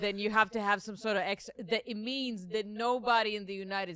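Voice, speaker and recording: In an Israeli accent, a woman speaks with a bright, sharp tone, medium pitch and ordinary pitch variation. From Israel, Jerusalem. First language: Hebrew. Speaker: comedian. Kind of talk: casual chat.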